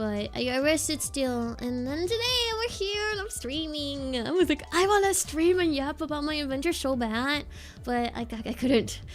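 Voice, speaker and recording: Music plays in the background as a woman speaks at a high pitch. Her pace is moderate and her intonation lively. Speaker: VTuber streamer. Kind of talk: casual chat. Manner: animated.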